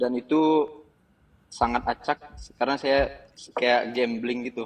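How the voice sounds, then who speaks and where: In a dry, close sound with no echo, a man talks at a fairly slow pace. His medium-pitched voice has flat, monotone intonation. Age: 20s. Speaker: caller asking for financial advice. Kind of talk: call-in question on a live show. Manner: halting, with hesitations.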